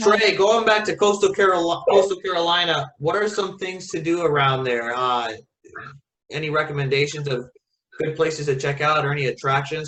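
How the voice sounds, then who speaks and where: A man with an American accent has an unremarkable speaking voice. He talks at a fairly quick pace with a fairly high pitch and lively intonation. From Florida (Tampa). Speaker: travel vlogger. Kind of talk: casual chat. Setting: video call.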